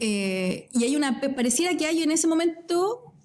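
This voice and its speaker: A woman is speaking. She has a Chilean accent. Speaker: physicist and science communicator. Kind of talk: casual interview chat. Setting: studio at an art centre.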